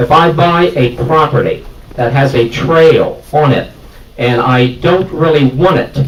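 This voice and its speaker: Noticeable background noise sits behind a man speaking at a fairly slow pace. His fairly high pitch shows ordinary variation, and his loudness stays very even. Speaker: farmer, audience member. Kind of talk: public meeting question.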